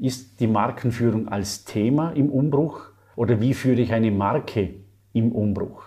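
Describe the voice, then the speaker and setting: His tone is dark and mellow, with a somewhat breathy quality. The man talks at a fairly slow pace. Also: medium pitch for a man, ordinary pitch variation. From Austria, Vorarlberg. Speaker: marketing lecturer and author. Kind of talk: interview.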